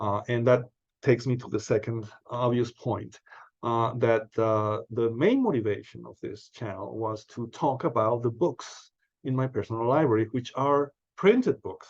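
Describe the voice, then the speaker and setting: A man's medium-pitched voice with a Spanish accent, at a moderate pace with fairly even intonation, over a quiet background. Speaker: book channel host. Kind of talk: casual monologue. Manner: halting, many fillers.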